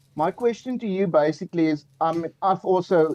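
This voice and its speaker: With a South African accent, a man talks with ordinary pitch variation in a dry, close sound with no echo. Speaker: caller. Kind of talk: call-in question. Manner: halting, hesitant.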